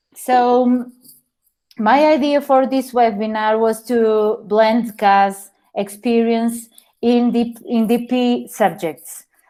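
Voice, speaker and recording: A woman with a Portuguese accent speaks at a very slow pace, her fairly high pitch carrying a dark, mellow tone at very even loudness. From Portugal. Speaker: teacher. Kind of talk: webinar presentation. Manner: halting, many fillers.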